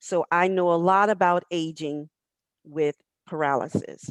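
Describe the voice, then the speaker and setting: A woman uses an ordinary speaking voice, fairly low in pitch with fairly even intonation, dry and close with no echo, over a quiet background. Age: 60s. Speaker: panel moderator, legal professional. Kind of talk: panel moderation. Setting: online webinar.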